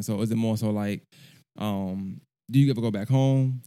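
Dark, mellow voice of a man with an American accent and fairly even intonation, on a very clean recording with a silent background. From Brooklyn, New York and Augusta, Georgia. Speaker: podcast host. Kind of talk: casual interview. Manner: relaxed, conversational.

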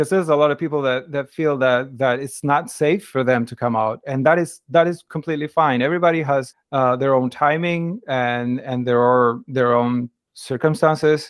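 At a moderate pace, a man with a Spanish accent talks at a fairly high pitch with ordinary pitch variation. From Argentina. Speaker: translator and interpreter. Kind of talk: interview. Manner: hesitant, many fillers and repetitions.

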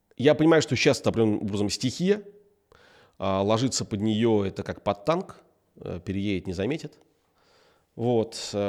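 On a very clean recording with a silent background, a man at a medium pitch speaks at a moderate pace with lively intonation and long, frequent pauses. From Russia, grew up in military towns. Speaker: tech entrepreneur. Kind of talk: interview.

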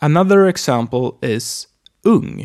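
A man with a Swedish accent speaks very slowly at a medium pitch. His pitch swings very widely, and the sound is dry and close with no echo. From Sweden. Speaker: language teacher. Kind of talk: language lesson.

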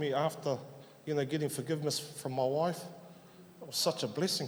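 A man talks with fairly even intonation and a somewhat breathy voice, with audible room echo around him. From New Zealand, South Auckland. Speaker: church member. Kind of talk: testimony. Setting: church.

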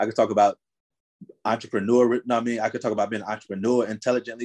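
A man's medium-pitched voice in a New Jersey accent, dry and close with no echo. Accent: New Jersey urban American English. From North New Jersey. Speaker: rap artist manager and entrepreneur. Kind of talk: casual interview.

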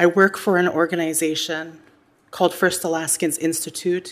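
A woman's voice, fairly low in pitch, at a moderate pace. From Alaska. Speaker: Alaska Native nonprofit leader, hearing witness. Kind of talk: congressional testimony. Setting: Senate hearing room. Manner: formal.

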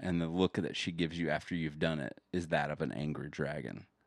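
A man's very deep, low voice with vocal fry and fairly even intonation, fairly quick, in a very clean recording with a silent background. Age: 30s. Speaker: podcast co-host. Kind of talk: casual chat.

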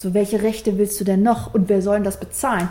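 Over noticeable background noise, a woman speaks. Her pitch is medium and her pace fairly quick. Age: 30s. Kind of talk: interview.

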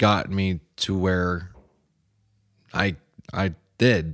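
A man with a fairly low pitch. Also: very clean recording, silent background. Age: 30s. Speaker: former mechanic in addiction recovery. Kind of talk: testimony.

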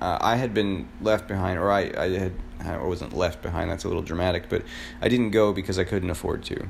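A man talks at a fairly quick pace with an American accent. His pitch is very deep and low, with ordinary pitch variation. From Florida. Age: 30s. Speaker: podcaster. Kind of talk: solo personal monologue. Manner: halting, many fillers.

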